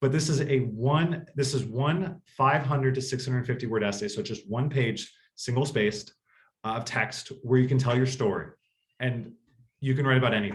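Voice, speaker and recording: A man talks at a medium pitch with ordinary pitch variation. His voice is somewhat breathy. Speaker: college admissions consultant and author. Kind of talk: presentation to parents. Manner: fast.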